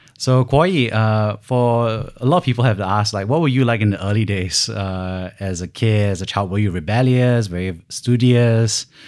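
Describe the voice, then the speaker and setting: A man with a normal speaking voice talks at a moderate pace, his fairly low pitch varying in an ordinary way. The recording is very clean, with a silent background. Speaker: podcast host. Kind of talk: interview, scripted intro.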